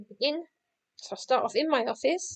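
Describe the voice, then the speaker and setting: A woman's voice with very wide pitch swings, dry and close with no echo. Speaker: game creator making a tutorial. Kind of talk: software tutorial. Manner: fast; casual with many fillers.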